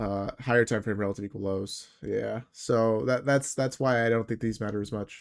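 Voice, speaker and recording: A man with a medium pitch, fairly even intonation and hardly any pauses. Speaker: trading educator streamer. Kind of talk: live stream trade review. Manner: fast; casual, filler-heavy.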